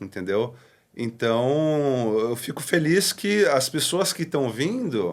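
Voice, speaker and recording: In a very clean recording with a silent background, a man speaks very slowly at a fairly high pitch, his voice making very wide pitch swings. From Brazil. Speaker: pastor. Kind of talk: podcast interview. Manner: casual.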